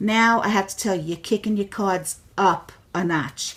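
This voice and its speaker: With a New York accent, a woman of medium pitch talks fairly slowly, her voice somewhat breathy. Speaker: crafter demonstrating a tool. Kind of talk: tutorial. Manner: animated.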